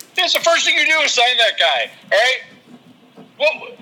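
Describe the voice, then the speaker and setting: With noticeable background noise, the speaker uses a raised, projected voice at a fairly slow pace. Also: man. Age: 40s. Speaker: amateur cook and sports fan. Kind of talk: casual chat.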